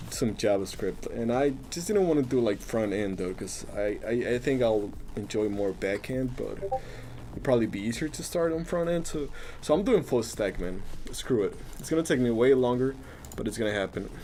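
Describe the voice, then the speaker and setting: Speaking with a Spanish accent, a man uses a medium pitch and lively intonation at a moderate pace. Noticeable background noise sits behind him. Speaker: coding live streamer. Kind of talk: live coding stream, casual. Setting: live stream. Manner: casual, halting with repetitions.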